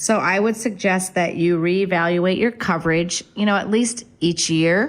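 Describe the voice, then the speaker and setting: An ordinary speaking voice from a woman with an American accent, medium in pitch with ordinary pitch variation and very even loudness. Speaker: real estate agent. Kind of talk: radio talk show.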